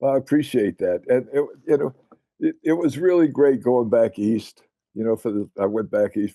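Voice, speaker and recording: At a moderate pace, a man speaks in a dark, mellow tone with a dry, close sound and no echo. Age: 80s+. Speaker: disc golf course designer and author. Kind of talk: casual chat.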